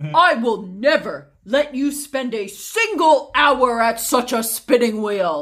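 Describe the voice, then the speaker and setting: Using a put-on character voice, a woman speaks high and fairly slowly. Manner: declaring, firm.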